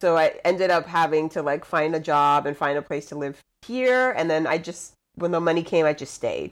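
A woman talks with ordinary pitch variation, her pitch fairly low. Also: moderate pace. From Puerto Rico (Luquillo). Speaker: comedian and actress, former lawyer. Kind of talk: casual chat. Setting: video call.

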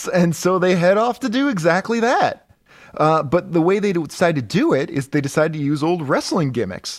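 Over a silent background in a very clean recording, a man with a high pitch speaks at a moderate pace with lively intonation. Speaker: comic book podcast co-host. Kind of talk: casual comedic chat. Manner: projecting, radio-announcer delivery; animated.

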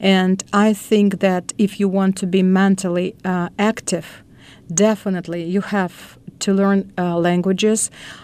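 A woman's medium-pitched voice in a Russian accent, at a fairly slow pace. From Russia, Moscow. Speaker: educator. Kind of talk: interview. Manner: halting.

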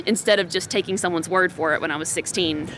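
A woman's very fast, animated speech at a fairly low pitch, with noticeable background noise. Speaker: political candidate. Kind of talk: interview. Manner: fast talker.

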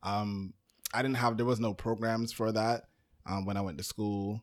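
A man's ordinary speaking voice, fairly low in pitch, with an American accent, fairly even intonation and a moderate pace. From Brooklyn, New York. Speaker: podcast producer. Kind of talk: casual chat.

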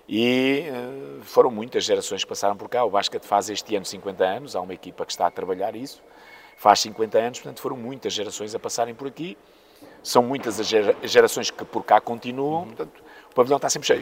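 Against noticeable background noise, a man of medium pitch talks at a fairly quick pace, with ordinary pitch variation and big swings in loudness. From northern Portugal (Póvoa de Varzim), born in Mozambique. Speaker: basketball coach. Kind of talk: interview. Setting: basketball club venue.

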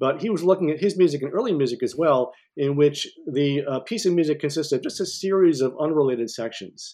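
A man with an American accent, fairly high pitch and a dark, mellow tone, talking at a very fast pace with hardly any pauses and ordinary pitch variation. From upstate New York. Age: 50s. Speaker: music theory professor. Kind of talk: interview.

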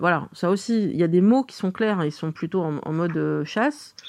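Medium pitch from a female speaker, set against a quiet background. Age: 40s. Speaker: interviewee sharing dating life. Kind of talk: interview. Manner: hesitant, many fillers.

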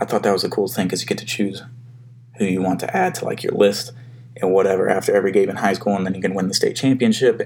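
Over noticeable background noise, a man talks at a very fast pace with a fairly low pitch and fairly even intonation. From Alabama, Huntsville. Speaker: podcast host. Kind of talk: solo casual monologue. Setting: home office.

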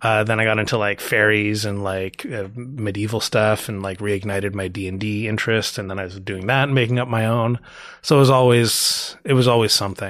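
Delivered in an unremarkable speaking voice with a Canadian accent, the speech moves at a fairly quick pace with hardly any pauses and fairly even intonation. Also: man, fairly low pitch for a man. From Canada, Toronto. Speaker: comic book writer and artist. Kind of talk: casual interview.

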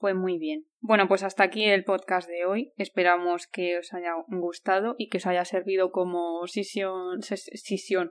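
Monotone, flat intonation at a fairly slow pace with hardly any pauses. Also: woman, medium pitch for a woman. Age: 30s. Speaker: podcast host. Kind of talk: casual chat.

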